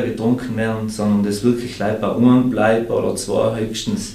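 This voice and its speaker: A man of medium pitch at a fairly slow pace, monotone and flat, with noticeable background noise and audible room echo. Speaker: beer brewer and sommelier. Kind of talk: casual chat.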